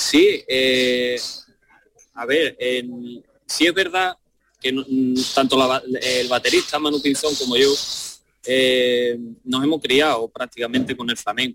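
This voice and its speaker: A man at a very slow pace, with long, frequent pauses, medium pitch and fairly even intonation. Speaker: percussionist. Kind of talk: radio interview.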